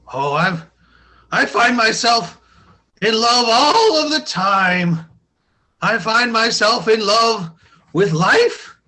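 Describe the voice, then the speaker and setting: In a put-on character voice pitched high for a man, he speaks at a very slow pace with long, frequent pauses. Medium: comedy sketch. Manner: chipper, friendly.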